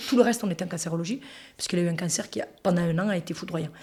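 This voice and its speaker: A woman with a medium pitch talks at a very fast pace in an animated tone, somewhat breathy, with ordinary pitch variation. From France, Toulouse. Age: 40s. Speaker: interviewee sharing life story. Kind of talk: casual interview conversation.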